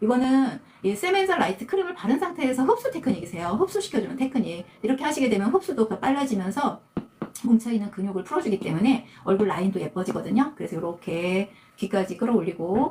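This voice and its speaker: Over noticeable background noise, a woman speaks at a very fast pace with a fairly high pitch and very wide pitch swings. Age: 60s. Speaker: esthetician. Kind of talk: tutorial. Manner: casual, conversational.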